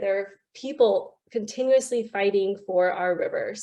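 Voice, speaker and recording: Speaking with an American accent, a woman uses a fairly high pitch, ordinary pitch variation and a fairly slow pace. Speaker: river conservation campaigner. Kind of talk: online panel talk. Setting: video call. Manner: animated.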